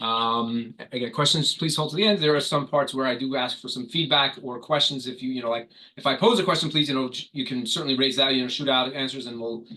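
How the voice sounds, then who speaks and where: With a New York accent, a man talks at a very fast pace with hardly any pauses, in a medium pitch with ordinary pitch variation and a bright, sharp tone. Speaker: corporate trainer and public adjuster. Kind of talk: online corporate training.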